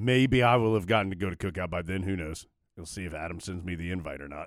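On a very clean recording with a silent background, a man talks at a very fast pace with a fairly low pitch and ordinary pitch variation. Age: 40. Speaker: sports podcast co-host. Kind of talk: casual chat. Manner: animated.

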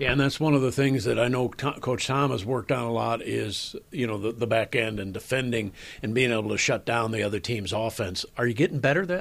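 In a normal speaking voice, a man talks at medium pitch and a fairly quick pace, with hardly any pauses and ordinary pitch variation. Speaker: sports radio host. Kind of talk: interview.

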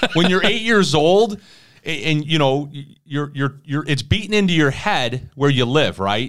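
A man's fairly high, ordinary speaking voice with lively intonation, in a very clean recording with a silent background. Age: 40s. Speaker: podcast host. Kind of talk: casual chat.

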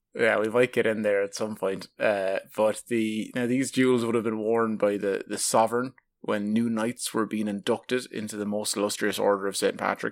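Against a silent background in a very clean recording, a man speaks with an Irish accent at a moderate pace with hardly any pauses. His fairly low voice has a monotone, flat intonation. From southeast Ireland. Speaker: podcast host. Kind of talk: casual chat.

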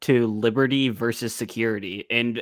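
A man with an ordinary speaking voice talks at a moderate pace and medium pitch, his intonation fairly even. The recording is very clean, with a silent background. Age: young. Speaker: podcast co-host, streamer. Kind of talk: casual chat.

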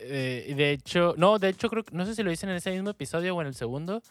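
A man's high voice with a Mexican accent, lively intonation and a fairly quick pace, recorded dry and close with no echo. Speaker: podcast host. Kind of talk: casual chat.

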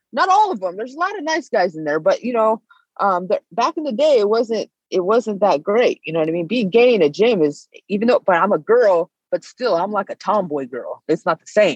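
A woman with an American accent and a fairly high pitch talks at a fairly quick pace, with very wide pitch swings and big swings in loudness, in a dry, close sound with no echo. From US West Coast, Northern California Bay Area. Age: 30s. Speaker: bare knuckle fighter. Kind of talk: casual interview.

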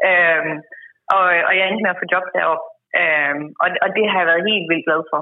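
This woman's voice sits at a fairly low pitch, with fairly even intonation. She speaks at a fairly slow pace with very even loudness. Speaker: agricultural researcher. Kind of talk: interview. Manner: halting, many repetitions and fillers.

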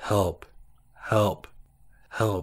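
Doing a put-on character voice, a man speaks in a raspy, fairly low register. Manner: calm, unpanicked, repeating.

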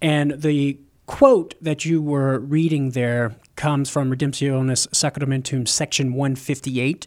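A man with a plain, everyday voice speaks fairly slowly at a fairly high pitch, his intonation fairly even. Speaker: apologist and author. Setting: studio.

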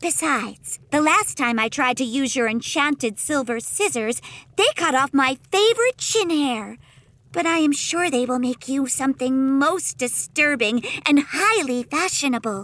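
A female-sounding voice takes on a put-on character voice. Her pitch sits high, and the pace is moderate. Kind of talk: comic audio drama. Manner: bubbly, excitable, sweetly macabre.

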